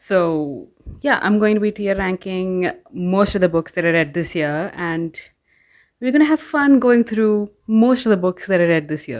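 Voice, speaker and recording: A soft-spoken woman at a medium pitch uses very wide pitch swings and a fairly slow pace on a very clean recording with a silent background. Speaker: book YouTuber. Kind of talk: casual vlog chat. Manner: hesitant, filler-heavy.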